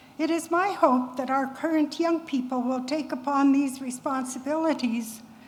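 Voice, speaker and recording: A woman speaks at a high pitch and a moderate pace. Her intonation stays fairly even. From Canada, Cree First Nation. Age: 80s+. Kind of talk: public talk.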